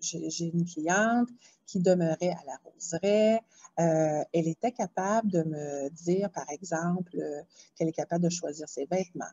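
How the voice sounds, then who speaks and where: Her pitch is fairly low. The woman talks at a fairly slow pace. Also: ordinary pitch variation. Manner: quiet.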